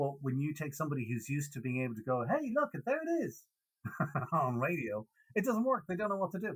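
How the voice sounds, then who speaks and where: A man's somewhat breathy, fairly high voice at a very fast pace, with very wide pitch swings. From Ireland, Dublin. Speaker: radio DJ. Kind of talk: casual interview chat. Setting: podcast interview.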